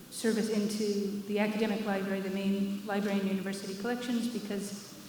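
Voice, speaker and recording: A woman's medium-pitched voice at a moderate pace, flat and monotone, with noticeable background noise and audible room echo. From United States. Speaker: data librarian. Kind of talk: keynote presentation. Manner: hesitant, many fillers.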